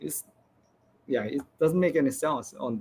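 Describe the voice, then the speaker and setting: A man with a fairly high voice talks at a very slow pace. His intonation is lively, with vocal fry. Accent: non-native. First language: not English. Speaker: game developer. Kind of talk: presentation Q&A. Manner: halting.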